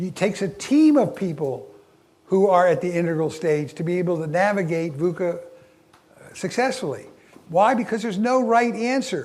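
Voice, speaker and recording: Very wide swings in pitch from a male speaker, the room's echo clearly audible. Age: 70s. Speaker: leadership speaker. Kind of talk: keynote talk. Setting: stage with audience. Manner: halting.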